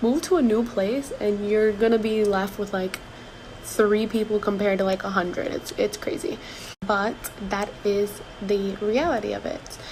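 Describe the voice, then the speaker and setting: A woman talks at a moderate pace with a medium pitch and ordinary pitch variation. Noticeable background noise runs underneath. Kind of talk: casual talk to camera. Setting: break room at work. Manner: whispered.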